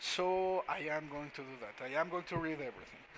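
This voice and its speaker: A man speaks with a non-native accent. His tone is bright and sharp, his pitch fairly high. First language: not English. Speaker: gaming commentator. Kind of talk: gameplay commentary. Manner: halting.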